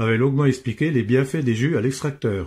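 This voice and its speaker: A somewhat breathy man in a very clean recording with a silent background. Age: 60s. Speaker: cancer patient. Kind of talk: testimony.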